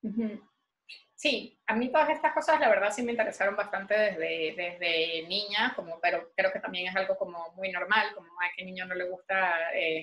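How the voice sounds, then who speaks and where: A woman with a Venezuelan accent speaks at a moderate pace and medium pitch, her intonation lively. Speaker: visual artist. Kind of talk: interview.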